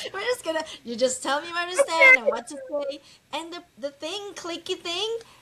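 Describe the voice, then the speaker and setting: Over noticeable background noise, a woman at an extremely high pitch projects her raised voice at a moderate pace, with very wide pitch swings and big swings in loudness. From Philippines. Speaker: real estate investor. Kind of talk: casual interview chat. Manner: halting, many repeats.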